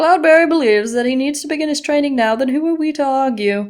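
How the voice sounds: This woman uses a put-on character voice, pitched high and delivered at a very fast pace. The recording is very clean, with a silent background.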